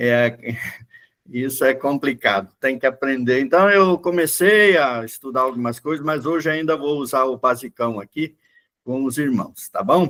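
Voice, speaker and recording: Pitched fairly high, a man's voice moves at a fairly slow pace and rises and falls in an ordinary way. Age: 60s. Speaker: pastor. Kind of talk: Bible class lecture. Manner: casual, halting with fillers.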